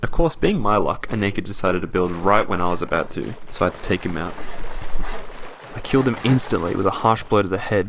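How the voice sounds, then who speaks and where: A man talks fairly quickly and shifts pitch in a typical way, with noticeable noise in the background. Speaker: gaming video narrator. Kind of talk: documentary-style game story narration.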